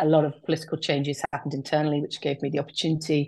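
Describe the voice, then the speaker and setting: Speaking against a quiet background, a woman with a southern English accent has a very deep, low voice. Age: 40s. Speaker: outdoor nature business owner. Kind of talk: casual interview chat.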